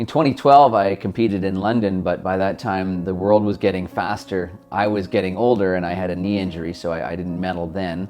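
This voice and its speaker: In a Canadian accent, a man with a very deep, low pitch speaks at a fairly quick pace, with ordinary pitch variation and hardly any pauses. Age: 30s. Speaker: former Paralympic swimmer and insurance broker. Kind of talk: interview.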